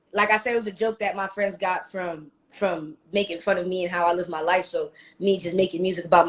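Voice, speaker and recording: In an American accent, a woman speaks fairly quickly with a fairly low pitch and monotone, flat intonation. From New Jersey, US. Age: young. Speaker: recording artist. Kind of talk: casual interview.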